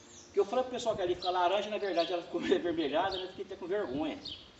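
A man speaks with a high pitch. The recording has audible room echo and light background noise. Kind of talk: casual vlog chat. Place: street. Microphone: camera far.

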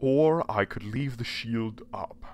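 The speaker is a man using a put-on character voice. His delivery is fairly slow. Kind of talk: audio drama villain. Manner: smug, courtly, menacing.

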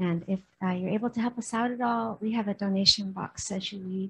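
Somewhat breathy, a woman with an Upper Midwest accent talks at a fairly quick pace. Her medium pitch shows ordinary variation. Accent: Upper Midwest American. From Minnesota. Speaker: sangha member. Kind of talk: audience question. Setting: temple. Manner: halting.

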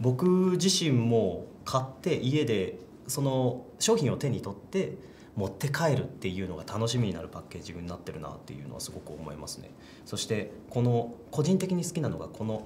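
A man speaks at a moderate pace with vocal fry and very wide pitch swings. His loudness swings widely over light background noise. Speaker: voice actor. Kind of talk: casual interview answer. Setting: recording studio. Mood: cheerful, relaxed. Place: meeting room.

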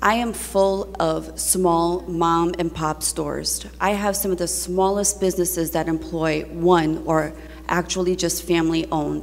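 A woman with a New Jersey accent at a fairly slow pace. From Newark, New Jersey (Ironbound). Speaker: state legislator. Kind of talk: floor speech. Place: hall. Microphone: podium.

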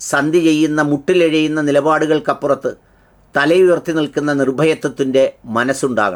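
A man with a normal speaking voice talks at a fairly high pitch with fairly even intonation. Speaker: commentary channel host. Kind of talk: scripted commentary.

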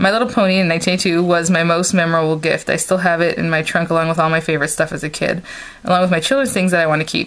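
Speaking at a fairly quick pace, a woman with a fairly low pitch keeps her intonation fairly even. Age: 30s. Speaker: craft video blogger. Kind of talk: casual chat. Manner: hesitant, many fillers. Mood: warm, delighted. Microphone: phone near.

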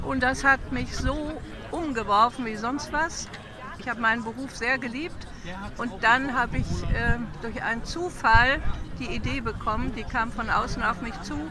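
A woman speaks at a fairly slow pace in a high voice, with ordinary pitch variation. The sound is dry with no echo, and background noise is noticeable. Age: 80s+. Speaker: protest participant being interviewed. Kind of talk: interview answer. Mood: earnest, committed. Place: street. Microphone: phone near.

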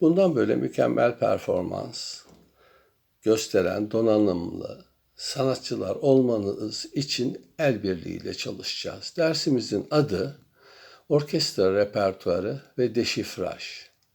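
The recording is very clean with a silent background, and the speech comes at a very slow pace. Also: man. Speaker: music professor. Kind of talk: welcome address to students. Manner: formal.

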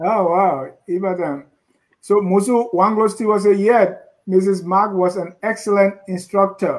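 The man's pitch is high. He speaks at a fairly slow pace with fairly even intonation. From Liberia. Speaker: co-host. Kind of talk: interview.

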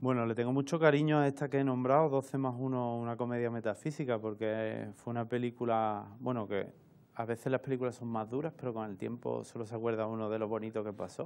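Fairly quick and with fairly even intonation, a man delivers his lines. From Seville, Andalusia, Spain; Andalusia, Spain. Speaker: camera assistant and film workshop instructor; film workshop instructor. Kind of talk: interview. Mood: relaxed, fond. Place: studio.

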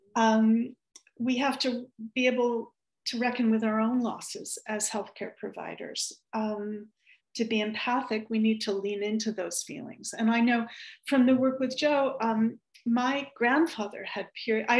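At a fairly slow pace, a woman with a fairly high pitch speaks in a monotone, flat intonation over a quiet background. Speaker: clinical psychologist. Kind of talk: webinar discussion. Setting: video call. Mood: calm, thoughtful. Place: home room. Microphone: video call.

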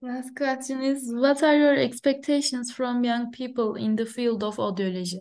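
A woman talks at a high pitch and a moderate pace with ordinary pitch variation and hardly any pauses. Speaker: interviewer, audiology academic; interviewer. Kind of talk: interview. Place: office. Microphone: video call.

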